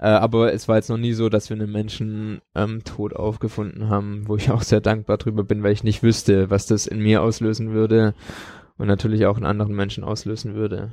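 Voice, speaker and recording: Against a quiet background, a man with a dark, mellow tone talks at a fairly quick pace in a fairly low, monotone, flat voice. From Baden-Württemberg, village. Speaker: homeless outreach coordinator. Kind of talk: interview. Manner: hesitant fillers.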